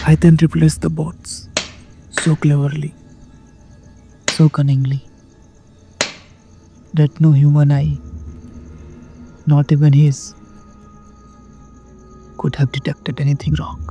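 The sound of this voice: In a put-on character voice, a man speaks slowly with a dark, mellow tone, a slightly husky edge, little pitch movement and long, frequent pauses, as faint music plays in the background. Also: fairly high pitch for a man.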